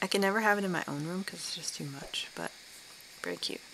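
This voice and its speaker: Noticeable background noise sits behind a woman speaking fairly quickly. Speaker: gaming commentator. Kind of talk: casual gameplay commentary. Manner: stutters, repeats words.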